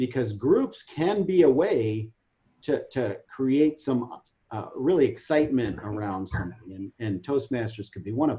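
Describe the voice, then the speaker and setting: A man speaks with a plain, everyday voice at a medium pitch. His intonation is lively and his pace is moderate. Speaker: webinar presenter. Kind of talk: online training presentation. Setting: video call.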